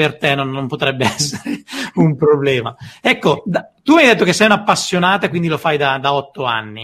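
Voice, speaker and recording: Here is a man with a normal speaking voice. His pitch is fairly high. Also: lively intonation, moderate pace. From northern Italy, Como. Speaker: podcast host. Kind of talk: interview.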